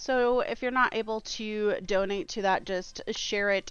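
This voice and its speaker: Here a woman speaks in an unremarkable speaking voice at a medium pitch, with ordinary pitch variation. The background is quiet. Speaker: streamer. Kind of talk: live gaming stream chat.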